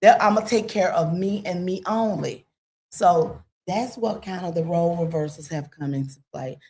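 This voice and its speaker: A woman speaks at a medium pitch and moderate pace, somewhat breathy, with a dark, mellow tone. Her pitch variation is ordinary, while her loudness swings widely. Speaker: podcast guest. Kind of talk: casual chat.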